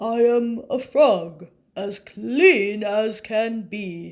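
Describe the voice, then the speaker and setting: In a put-on character voice, a female-sounding speaker talks very slowly at a fairly high pitch for a woman. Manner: polite.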